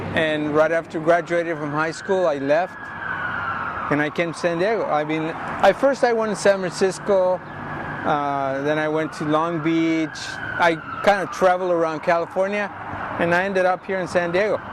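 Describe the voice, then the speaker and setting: With noticeable background noise, a man with an American accent speaks at a moderate pace in a high pitch, his intonation fairly even. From Texas, El Paso. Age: 60s. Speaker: muralist. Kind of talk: interview. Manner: halting.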